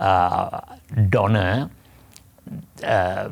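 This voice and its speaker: A man is speaking. His pitch is fairly low. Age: 80s+. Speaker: Buddhist monk and author. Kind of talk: interview. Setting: studio. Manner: halting.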